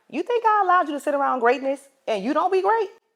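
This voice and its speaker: A woman speaks with an animated tone. Her intonation is lively. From US South, South Carolina (Florence). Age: 20s. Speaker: podcast host. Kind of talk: casual vlog monologue with preaching.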